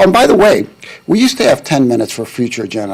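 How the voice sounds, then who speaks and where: Noticeable background noise sits behind a man of medium pitch talking at a very fast pace. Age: 70s. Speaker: public commenter at county meeting. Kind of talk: public comment.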